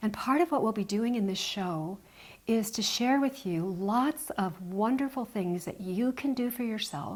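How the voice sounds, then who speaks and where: A woman talks at a fairly slow pace with lively intonation. Her voice is fairly high and somewhat breathy. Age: 60s. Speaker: health show host. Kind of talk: casual chat.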